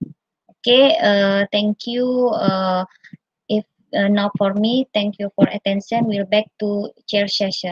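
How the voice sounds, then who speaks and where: A somewhat breathy woman's voice at a very slow pace, with long, frequent pauses, a dry sound with no echo and a quiet background. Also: ordinary pitch variation. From Indonesia. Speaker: university researcher; conference presenter. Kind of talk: conference presentation. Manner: halting. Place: home room. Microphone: video call.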